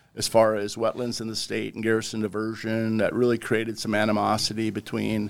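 The speaker is a man. He talks with a North Dakota accent. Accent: Upper Midwest (North Dakota). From southwest North Dakota. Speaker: wildlife conservation official. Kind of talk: casual interview.

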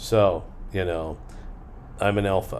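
A man speaks with a fairly low pitch. There is audible room echo. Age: 60s. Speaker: podcast host. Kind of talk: casual monologue; listener Q&A.

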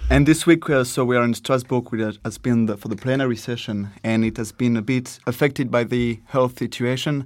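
A man's medium-pitched voice with a French accent, fairly even intonation and a fairly quick pace with hardly any pauses, on a very clean recording with a silent background. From France. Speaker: podcast interviewer. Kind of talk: casual interview. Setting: European Parliament in Strasbourg.

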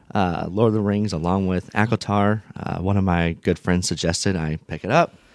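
An American accent at a moderate pace, with fairly even intonation, in a very clean recording against a silent background. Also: man. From northern US. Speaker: book club guest. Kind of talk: casual chat. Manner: halting, many fillers.

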